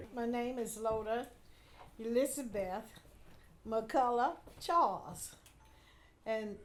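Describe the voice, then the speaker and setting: In a room with audible echo, a woman speaks very slowly at a fairly high pitch. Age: 80s+. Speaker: family elder. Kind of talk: oral history interview. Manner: halting.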